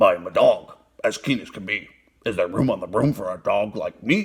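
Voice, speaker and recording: Growling in a put-on character voice, a man talks at a moderate pace. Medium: read story.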